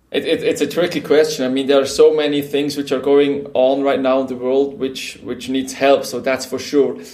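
This man speaks with a Swiss German accent and a fairly high pitch. He hardly pauses at all. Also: moderate pace. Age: 30s. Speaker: company co-founder. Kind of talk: interview. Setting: video call. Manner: energetic.

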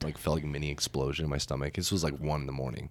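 Very fast and very deep, a man's voice with vocal fry comes through a very clean recording with a silent background. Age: 20s. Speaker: guest, friend of the hosts. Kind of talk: casual chat.

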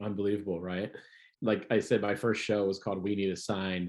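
Over a quiet background, a man with an American accent talks fairly quickly in a normal speaking voice, fairly low in pitch. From Ohio. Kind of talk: interview.

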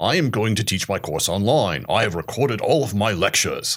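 Using a put-on character voice with a British accent, a man speaks at a medium pitch in a raspy tone and at a fairly quick pace. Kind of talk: cultured, refined.

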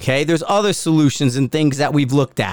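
The speaker is a man. He talks with a Connecticut accent. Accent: Northeastern US (Connecticut). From US Northeast, Bridgeport, Connecticut. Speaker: podcast host, former Marine sniper. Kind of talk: angry, profane solo rant about forum critics. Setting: at home. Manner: wound-up, combative and sarcastic; blunt and forceful, calling it like he sees it.

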